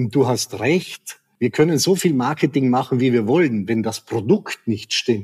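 A man speaks at a medium pitch and a fairly slow pace in an enthusiastic tone, his intonation lively and his delivery with hardly any pauses, in a dry, close recording with no echo. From South Tyrol, Italy. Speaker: tourism executive. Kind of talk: interview.

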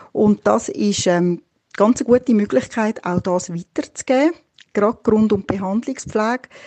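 Her intonation is lively and her pace moderate. This woman has a plain, everyday voice. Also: fairly high pitch for a woman. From Switzerland. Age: 50s. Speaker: midwife. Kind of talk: interview.

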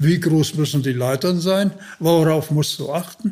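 The voice has ordinary pitch variation and a moderate pace. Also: man. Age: 80s+. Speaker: retired special forces officer. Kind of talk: interview storytelling.

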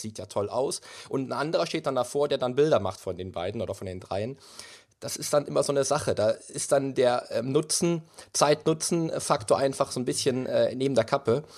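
Lively in intonation, a man speaks at a moderate pace in a fairly high pitch on a very clean recording with a silent background. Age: 30s. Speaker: bodybuilding champion and personal trainer. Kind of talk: interview. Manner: animated.

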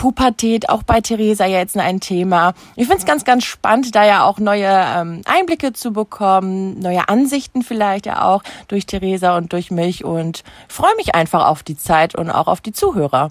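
In a normal speaking voice, the speaker goes at a moderate pace with ordinary pitch variation and a dry, close sound with no echo. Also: woman, medium pitch for a woman. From Germany, Münster area (NRW). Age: 30s. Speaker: social media influencer and mother. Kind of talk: casual chat.

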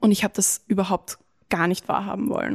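Recorded dry and close with no echo, a woman talks at a fairly quick pace in an unremarkable speaking voice, at medium pitch with ordinary pitch variation. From Lower Austria. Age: 20s. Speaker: diary writer, former slam participant. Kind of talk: reading aloud own diary entries; casual interview chat.

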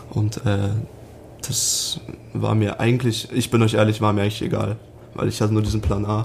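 A man's fairly low voice at a moderate pace, with fairly even intonation, very even loudness, long and frequent pauses, and noticeable background noise. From western Germany, Sauerland near Dortmund (NRW). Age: 20s. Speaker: professional ice hockey player. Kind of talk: podcast interview.

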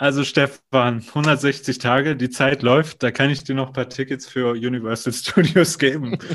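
A man with an unremarkable speaking voice at a medium pitch, fairly slow pace and fairly even intonation, against a quiet background. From Germany, North Rhine-Westphalia. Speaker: theme park attraction designer. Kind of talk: casual interview.

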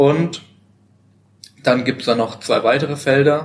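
A man's medium-pitched, monotone, flat voice at a fairly slow pace. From Baden-Württemberg, Germany. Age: 20s. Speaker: voluntary social year worker in a kindergarten. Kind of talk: casual interview. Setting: at a seminar.

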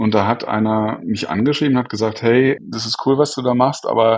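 An unremarkable speaking voice from a man, medium-pitched, at a fairly quick pace. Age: 40s. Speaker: software entrepreneur. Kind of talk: interview.

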